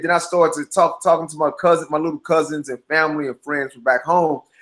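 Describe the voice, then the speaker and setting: A man with an American accent talks very fast in a high pitch. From US Midwest, St. Louis, Missouri. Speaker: filmmaker and actor. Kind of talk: interview.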